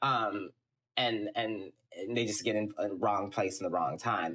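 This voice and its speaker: An ordinary speaking voice from a man with an American accent, fairly low in pitch, at a moderate pace. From Texas, Houston. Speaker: film production company CEO. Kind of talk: podcast interview.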